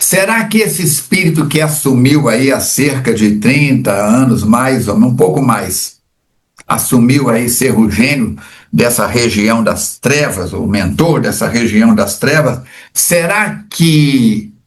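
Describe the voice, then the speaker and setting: At a very slow pace, a somewhat breathy man of medium pitch uses lively intonation amid audible room echo. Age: 70s. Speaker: spiritist study leader. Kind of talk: religious book study discussion. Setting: recording from home.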